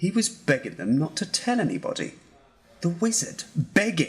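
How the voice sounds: A woman uses a put-on character voice with a husky, rough edge and fairly low pitch. Her pitch swings widely at a moderate pace.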